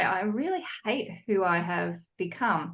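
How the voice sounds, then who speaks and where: A woman is speaking. She has a Sydney accent. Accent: Sydney, Australian. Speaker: psychologist and divorce coach. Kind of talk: podcast interview.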